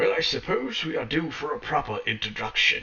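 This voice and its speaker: A man's put-on character voice at a fairly quick pace. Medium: actual play. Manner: grandiose, self-assured.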